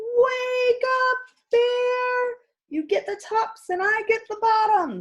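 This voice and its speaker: Putting on a squeaky character voice, a woman speaks very slowly at an extremely high pitch. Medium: read story. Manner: friendly, persuasive.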